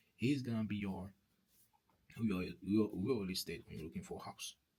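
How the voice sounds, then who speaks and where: A man with a French accent, fairly low in pitch and somewhat breathy, with lively intonation and a fairly quick pace. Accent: non-native English, French-speaking. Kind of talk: testimony. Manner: halting, with many repetitions; earnest preaching.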